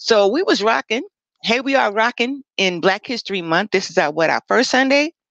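A woman speaks at a moderate pace in an animated tone, her pitch swinging very widely, with a dry, echo-free sound and a quiet background. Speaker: talk show host on mental wellness. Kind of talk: casual chat. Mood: earnest, storytelling. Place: home room. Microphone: headset.

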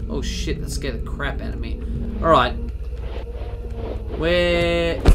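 This is a man speaking. Noticeable background noise runs behind him. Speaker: let's play gamer. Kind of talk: casual gameplay commentary. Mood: jokey, occasionally startled. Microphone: headset.

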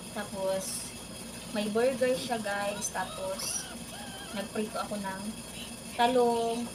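Noticeable background noise and audible room echo frame a woman's voice. She speaks at a very slow pace with fairly even intonation and long, frequent pauses. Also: fairly high pitch for a woman. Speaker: vlogger and overseas domestic worker. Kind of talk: casual vlog chat while eating. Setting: in her room.

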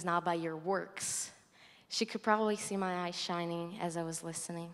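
A woman speaks with a Brazilian accent at a moderate pace. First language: Portuguese. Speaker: college student. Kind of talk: testimony. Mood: earnest, reflective. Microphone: handheld.

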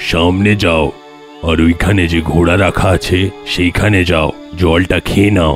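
A man speaks in a cartoonish character voice with a very deep, low pitch at a moderate pace. Clear music plays in the background. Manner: calm, kindly.

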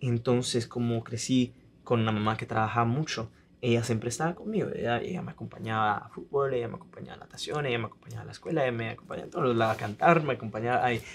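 With light background noise, a man talks at a very fast pace with ordinary pitch variation. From Italy. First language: Italian (speaking Spanish). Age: 20s. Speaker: singer-songwriter; guest. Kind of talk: interview; interview answer. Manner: halting. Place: studio.

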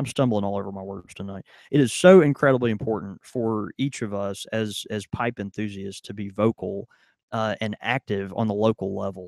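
Pitched fairly low, a man speaks at a moderate pace with fairly even intonation and big swings in loudness, the sound dry with no echo and the background quiet. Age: 30s. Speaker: podcast co-host. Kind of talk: casual chat. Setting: studio with live audience. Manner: halting, many fillers. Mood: earnest, a bit stumbling. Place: shop. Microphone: studio mic.

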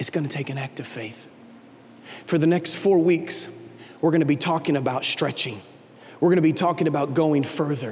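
With a passionate tone, a man speaks at a fairly quick pace and fairly high pitch, with ordinary pitch variation and long, frequent pauses over light background noise. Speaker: lead pastor. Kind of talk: sermon. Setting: church. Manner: animated; passionate, urgent, pleading. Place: stage. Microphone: handheld.

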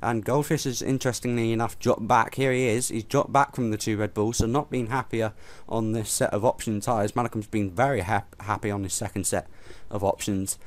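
An unremarkable speaking voice, this man talks at a fairly quick pace with medium pitch and fairly even intonation on a very clean recording with a silent background. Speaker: race commentator. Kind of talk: live race commentary for a sim racing league, casual and conversational. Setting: commentary box. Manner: measured, conversational, pausing with frequent fillers.

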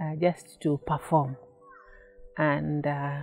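Delivered fairly slowly, the speech keeps a fairly even intonation. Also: woman. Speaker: interviewee. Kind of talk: interview answer.

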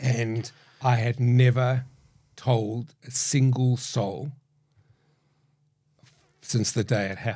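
Over a quiet background, a man with a dark, mellow, somewhat breathy voice speaks in a monotone, flat intonation at a very slow pace with long, frequent pauses. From South Africa. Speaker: podcast guest. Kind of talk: interview answer. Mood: reflective, personal, vulnerable. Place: studio. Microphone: studio mic.

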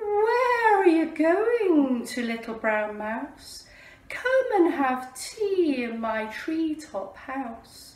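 A woman puts on a character voice with high pitch and very wide pitch swings, speaking at a very slow pace with a slight echo. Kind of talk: children's storytime reading. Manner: hooting.

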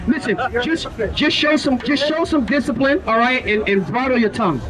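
A man speaks at a moderate pace through loud background noise. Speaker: street preacher. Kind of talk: street preaching, confrontational Bible-based debate with passers-by. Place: street. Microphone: handheld.

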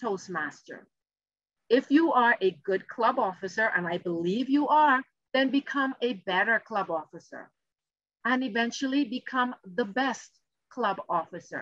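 A woman talks at a moderate pace with a high pitch and a bright, sharp tone. The sound is dry with no echo, over a quiet background. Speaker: keynote speaker. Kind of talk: keynote speech. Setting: video call. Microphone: video call.

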